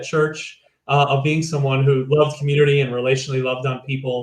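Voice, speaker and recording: A man talks with a slight Chicago accent and a fairly high pitch. His voice is somewhat breathy, with monotone, flat intonation. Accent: slight Chicago American. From US Midwest, Chicago. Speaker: church leader. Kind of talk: interview.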